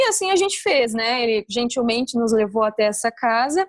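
In an interior São Paulo accent, a woman talks at a fairly quick pace in a high pitch with very wide pitch swings, the sound dry and close with no echo. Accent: caipira interior São Paulo. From interior of São Paulo state, Brazil (Batatais). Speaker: former exchange student. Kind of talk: casual interview.

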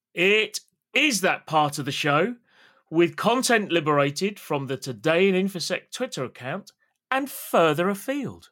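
A man with a British accent, high pitch, very wide pitch swings, a bright, sharp tone and a fairly slow pace, in a very clean recording with a silent background. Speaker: podcast host. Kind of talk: casual chat.

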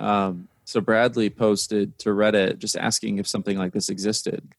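Speaking at a moderate pace with an American accent, a man with a fairly low pitch is heard on a very clean recording with a silent background and a dry, close sound with no echo. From US Midwest, Indiana. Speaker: startup co-founder. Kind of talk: interview conversation. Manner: hesitant, many fillers and repetitions.

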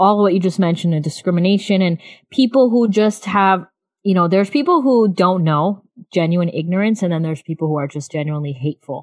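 A woman speaks at a fairly quick pace and medium pitch. She has a normal speaking voice. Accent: American. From US South, South Florida. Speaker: podcast host, mother. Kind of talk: casual chat.

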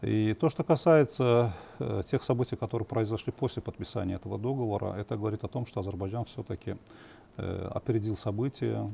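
A man with a fairly low pitch and vocal fry talks at a fairly quick pace in a dark, mellow tone with ordinary pitch variation. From Azerbaijan. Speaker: journalist and political analyst. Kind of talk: TV political panel discussion. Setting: TV studio.

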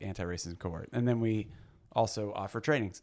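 A man with an American accent speaks at a fairly quick pace in a fairly low pitch, with fairly even intonation and a plain, everyday voice. The recording is very clean, with a silent background. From Missouri (Blue Springs). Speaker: pastor and activist. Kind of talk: casual interview.

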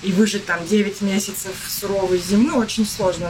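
A woman keeps a moderate pace while background noise stays noticeable. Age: 30s. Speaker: yoga teacher. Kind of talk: podcast interview.

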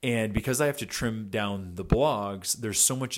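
A man's medium-pitched voice, with ordinary pitch variation, comes through on a very clean recording with a silent background. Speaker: podcast host and keynote speaker. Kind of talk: solo podcast update. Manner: energetic, motivational.

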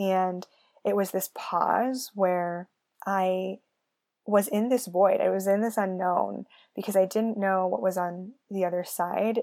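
Speaking very slowly with fairly even intonation, a woman with a Californian accent has a medium-pitched voice and a dark, mellow tone in a very clean recording with a silent background. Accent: Californian American. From US West Coast, San Francisco Bay Area. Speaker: podcast host and human design coach. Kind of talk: solo podcast monologue, personal story. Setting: alone at a microphone.

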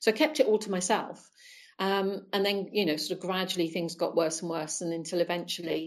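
A woman with a normal speaking voice, a fairly quick pace and fairly even intonation. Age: 60s. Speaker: former Jehovah's Witness guest. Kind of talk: interview.

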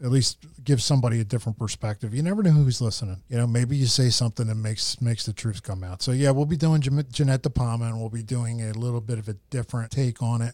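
A man speaks at a very fast pace with medium pitch and ordinary pitch variation. His voice is somewhat breathy, in a very clean recording with a silent background. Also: hardly any pauses. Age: 50s. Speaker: podcast host. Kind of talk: casual chat.

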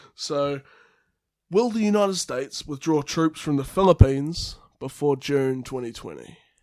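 Speaking at a moderate pace, a man with a New Zealand accent uses lively intonation at a fairly high pitch. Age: 20s. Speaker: student and podcast co-host, former radio worker. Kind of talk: casual chat; reading aloud.

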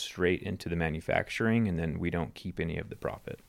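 On a very clean recording with a silent background, a man with a very deep, low pitch talks at a very fast pace. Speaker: YouTuber guest. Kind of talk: casual interview chat. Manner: animated, jokey.

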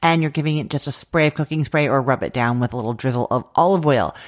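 A woman's very deep, low voice with a Canadian accent and ordinary pitch variation, on a very clean recording with a silent background. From Canada. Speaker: food podcast host and recipe blogger. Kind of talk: cooking tutorial. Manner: casual, chatty.

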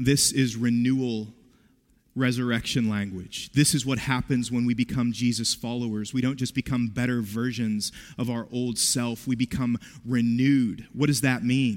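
Here is a man talking at a moderate pace. His intonation is monotone and flat. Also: very clean recording, silent background. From West Virginia. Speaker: pastor. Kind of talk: sermon.

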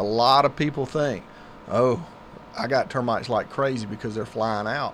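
A man at medium pitch with a Southern US accent. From US South, Griffin, Georgia. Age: 40s. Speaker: pest control business owner. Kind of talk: radio interview. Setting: studio.

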